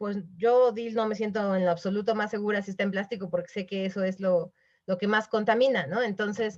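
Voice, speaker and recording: Against a quiet background, a woman talks at a fairly quick pace and a medium pitch. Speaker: webinar speaker on corporate responsibility. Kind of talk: webinar talk. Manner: fast; animated.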